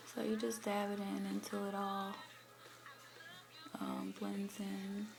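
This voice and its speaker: Amid audible room echo and music in the background, a woman speaks at a very slow pace. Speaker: beauty vlogger. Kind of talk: tutorial. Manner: casual, hesitant with fillers.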